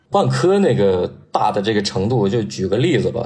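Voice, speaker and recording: A man with vocal fry and lively intonation speaks at a moderate pace amid audible room echo. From Northeast China. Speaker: sports journalist. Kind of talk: casual chat.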